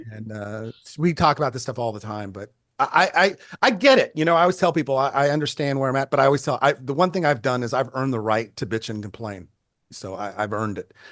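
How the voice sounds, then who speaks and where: Speaking at a very fast pace in a Californian accent, a man uses lively intonation with big swings in loudness. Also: medium pitch for a man. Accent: Californian American. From Northern California, Bay Area. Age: 60s. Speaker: photographer. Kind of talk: casual chat.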